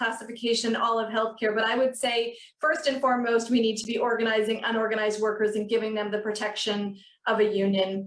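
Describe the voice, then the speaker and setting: In a room with audible echo, a woman with a Canadian accent talks at a fairly quick pace, her fairly high pitch held in a monotone, flat intonation. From Ontario, Canada (Peterborough). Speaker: union officer. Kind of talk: panel discussion.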